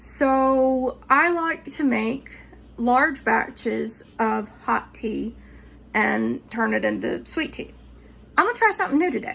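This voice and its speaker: A woman speaks with a Southern US accent. Her pace is very slow. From North Georgia, Appalachian Mountains. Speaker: home cook. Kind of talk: casual cooking tutorial talk to camera. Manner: chatty, upbeat.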